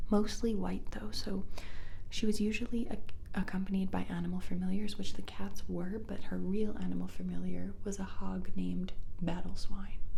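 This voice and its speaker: A soft-spoken woman whispers at a moderate pace over noticeable background noise. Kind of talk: ASMR mythology chat. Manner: soft-spoken, whispery, rambling.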